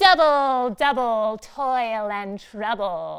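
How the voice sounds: This woman uses a put-on character voice that is nasal and fairly high-pitched. She delivers it at a very slow pace.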